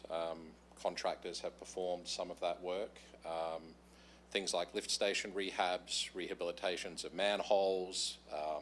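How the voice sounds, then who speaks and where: With an Australian accent, a man speaks at a fairly slow pace. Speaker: utility contractor presenter. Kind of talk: presentation to council. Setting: council meeting.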